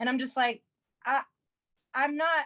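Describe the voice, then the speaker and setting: A woman speaks loudly in a bright, sharp tone. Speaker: comedian and musician. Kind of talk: casual interview chat.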